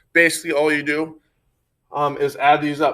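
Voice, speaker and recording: The recording is very clean, and the background is silent. A man talks at a moderate pace. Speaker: schoolteacher. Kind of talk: video lesson for pupils. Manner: hesitant with fillers.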